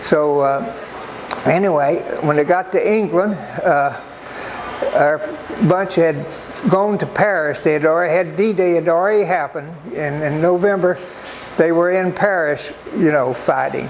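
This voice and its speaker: Noticeable background noise fills the recording. Through it, a man talks with a high pitch. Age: 90s. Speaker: war veteran. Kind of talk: talk to an audience. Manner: halting.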